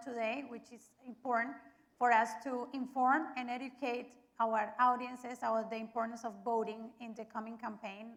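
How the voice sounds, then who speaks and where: At a moderate pace, a woman speaks high in pitch with monotone, flat intonation. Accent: Spanish. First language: Spanish. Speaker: media representative and forum co-moderator. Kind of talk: event introduction.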